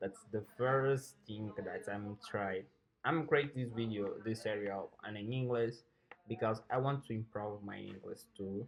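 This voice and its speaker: The pitch is medium for this male speaker. He has a non-native accent. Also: fairly even intonation, fairly slow pace. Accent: Portuguese-speaking accent in English. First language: Portuguese. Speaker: software programmer and coding teacher. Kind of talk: tutorial. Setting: home recording room, no studio. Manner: halting, hesitant with repetitions.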